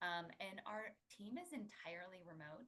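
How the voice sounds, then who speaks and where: Soft-spoken, a woman talks. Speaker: pricing software solutions consultant. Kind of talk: webinar presentation. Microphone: too quiet.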